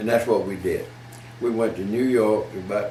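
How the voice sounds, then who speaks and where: A man speaks at a moderate pace with a medium pitch. There is noticeable background noise. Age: 90s. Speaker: elderly car dealer recalling local history. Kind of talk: casual interview answer.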